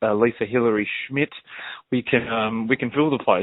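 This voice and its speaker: This man speaks with an Australian accent at a fairly quick pace. His intonation stays fairly even. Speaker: country singer. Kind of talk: casual chat.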